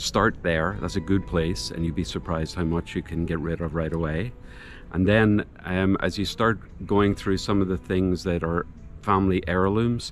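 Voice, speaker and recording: The speech moves at a moderate pace with ordinary pitch variation. Music plays in the background. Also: man, very deep, low pitch for a man. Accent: Northern Irish. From Northern Ireland. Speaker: retiree moving abroad. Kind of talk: interview.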